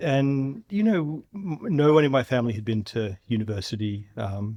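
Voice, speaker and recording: A man with an Australian accent speaks at a fairly slow pace. The background is quiet. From Australia, Melbourne outer suburbs. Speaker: physics professor and science show host. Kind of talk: podcast interview.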